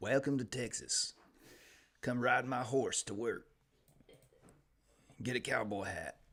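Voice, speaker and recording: Putting on a raspy character voice, a man speaks at a medium pitch and a fairly slow pace. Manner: exaggerated, tour-guide cheer.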